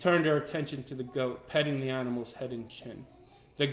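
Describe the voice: The clip offers plain reading aloud, its intonation fairly even.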